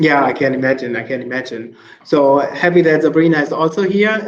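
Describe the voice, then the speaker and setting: The speaker is a man with a fairly high pitch. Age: 20s. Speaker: webinar host and presenter. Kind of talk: moderated panel discussion. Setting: online webinar. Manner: hesitant, many fillers.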